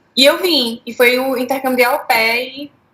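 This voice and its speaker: The speaker is a woman. She has a Recife accent. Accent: Recife (Pernambuco). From Brazilian Northeast, Recife. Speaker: former au pair. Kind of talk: interview.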